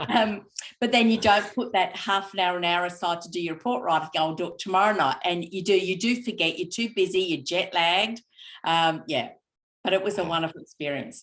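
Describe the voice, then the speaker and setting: A woman with a medium pitch talks at a fairly quick pace in a very clean recording with a silent background. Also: ordinary pitch variation. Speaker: cheese maker and fellowship recipient. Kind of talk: interview. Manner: fast.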